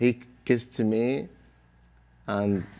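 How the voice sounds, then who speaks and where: A man with an Arabic accent speaks at a fairly low pitch with fairly even intonation. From Iraq. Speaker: Iraqi soldier. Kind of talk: interview. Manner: halting.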